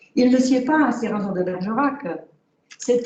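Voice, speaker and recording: A fairly slow pace in a Czech accent. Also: woman. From Czechoslovakia. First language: Czech (speaking French). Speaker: award-winning author. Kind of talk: reading aloud; acceptance speech. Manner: halting.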